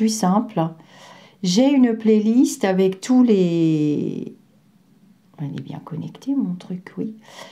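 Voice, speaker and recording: With a dark, mellow tone at a medium pitch, a woman uses lively intonation and takes long, frequent pauses. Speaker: psychic medium and former healthcare worker. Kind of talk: vlog monologue. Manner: hesitant, many fillers.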